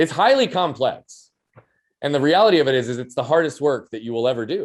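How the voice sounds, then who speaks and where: Lively intonation runs through speech delivered at a very fast pace. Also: man, fairly high pitch for a man. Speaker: performance coach and speaker. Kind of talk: interview conversation. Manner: loud.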